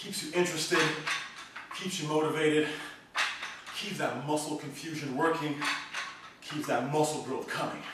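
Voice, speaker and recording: Loud background noise and audible room echo surround a man speaking at a moderate pace. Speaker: fitness trainer. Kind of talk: workout instruction. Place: home room. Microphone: camera far.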